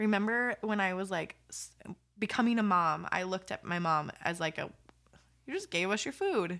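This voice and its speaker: Bright and sharp in tone, a woman with an American accent speaks at medium pitch with ordinary pitch variation. Her pace is moderate, and the recording is very clean with a silent background. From California. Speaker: podcast co-host. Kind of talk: casual chat. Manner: animated.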